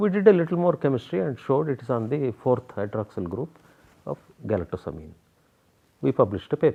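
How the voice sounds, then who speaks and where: This man talks at a fairly quick pace with a Kannada accent. His pitch swings very widely. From South India. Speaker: biochemistry professor. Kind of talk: interview.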